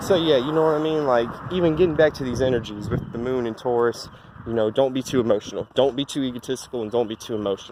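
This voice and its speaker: A man at medium pitch and a very fast pace, with ordinary pitch variation and noticeable background noise. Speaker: astrology vlogger. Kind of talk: casual vlog monologue. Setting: outdoors, walking in heat. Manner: halting, stuttering; casual, laid-back.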